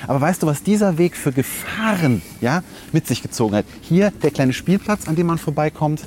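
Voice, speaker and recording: Noticeable noise fills the background. Above it, the intonation moves in a lively way. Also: man, fairly high pitch for a man, moderate pace, very even loudness. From Rhineland, Germany (Langenfeld). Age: 30s. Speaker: podcast host. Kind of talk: casual chat.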